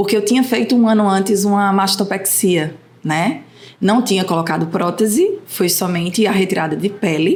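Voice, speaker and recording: Against noticeable background noise, a woman with a Pernambuco accent speaks fairly slowly at a medium pitch with ordinary pitch variation. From Recife, Brazil. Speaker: mother guest. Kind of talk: casual podcast interview.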